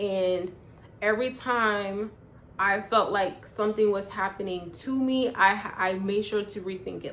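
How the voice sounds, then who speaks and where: Background noise is clearly noticeable as a woman talks. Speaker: personal growth vlogger. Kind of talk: casual vlog monologue.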